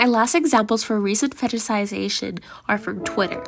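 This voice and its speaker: With music playing behind her, a woman talks at a medium pitch. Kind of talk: educational commentary talk.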